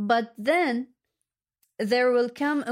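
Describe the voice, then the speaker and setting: With an Arabic accent, a woman speaks at a very slow pace and fairly high pitch with ordinary pitch variation. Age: 30s. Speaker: journalistic editor and translator. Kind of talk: casual chat.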